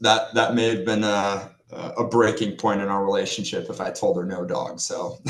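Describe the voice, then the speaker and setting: A man speaking with hardly any pauses over noticeable background noise. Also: moderate pace. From Norway. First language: Norwegian. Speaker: financial planner. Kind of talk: podcast interview.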